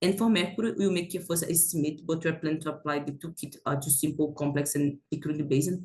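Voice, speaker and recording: With a non-native accent, the speaker goes at a very fast pace with hardly any pauses. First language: not English. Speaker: planetary science researcher. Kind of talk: conference presentation. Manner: halting, many fillers.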